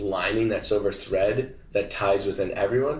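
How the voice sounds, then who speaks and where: The voice belongs to a man. It has a somewhat breathy sound. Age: 20s. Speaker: entrepreneur and influencer. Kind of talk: interview conversation.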